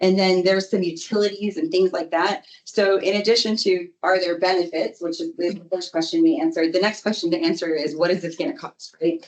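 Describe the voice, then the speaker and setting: A woman with a fairly low voice talks at a fairly quick pace. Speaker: flood control engineer. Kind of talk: presentation at public board meeting. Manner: fast.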